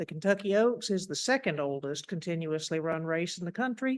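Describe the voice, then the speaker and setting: Here a woman with a Tennessee accent speaks at a moderate pace and a fairly low pitch. The background is quiet. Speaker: horse racing historian and author. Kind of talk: lecture. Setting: lecture hall with audience.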